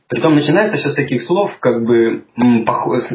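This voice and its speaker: Somewhat breathy and with lively intonation, a man speaks at a moderate pace. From Russia, Urals (Chelyabinsk). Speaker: podcaster living abroad. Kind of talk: casual interview conversation. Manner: hesitant, many fillers.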